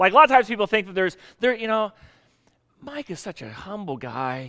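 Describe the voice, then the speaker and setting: This man speaks in a raised, projected voice with a bright, sharp tone and an American accent. His pitch is high and swings very widely, at a fairly quick pace. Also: big swings in loudness. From US South. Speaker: pastor. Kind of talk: sermon.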